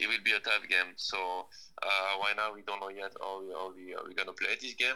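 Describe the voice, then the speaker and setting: The speech keeps a moderate pace while its loudness swings widely. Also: man. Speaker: professional footballer. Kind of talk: interview. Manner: halting.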